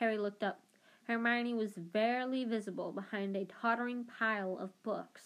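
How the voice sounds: A natural reading voice moves through the text with fairly even intonation.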